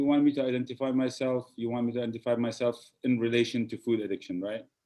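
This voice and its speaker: Very fast and monotone, a man talks at medium pitch in a dark, mellow tone. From Jordan. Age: 50s. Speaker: food addiction recovery specialist. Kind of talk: interview. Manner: halting, many fillers.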